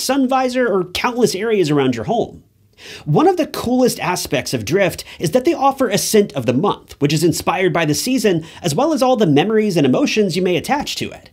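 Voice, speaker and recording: A man speaks at a fairly quick pace, hardly pausing, his pitch swinging very widely. The background is quiet. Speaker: true crime channel host. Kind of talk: sponsor ad read.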